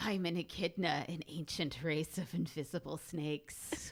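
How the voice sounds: A put-on character voice at middle pitch, hissing, at a moderate pace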